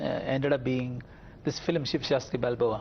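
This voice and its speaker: This man's voice is somewhat breathy. He speaks at a fairly quick pace. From India, Kerala. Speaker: film director. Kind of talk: studio interview. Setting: TV studio.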